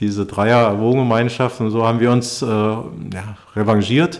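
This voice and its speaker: Speaking at a medium pitch, the man keeps his intonation fairly even. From East Germany. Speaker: youth football coach and podcast host. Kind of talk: casual chat.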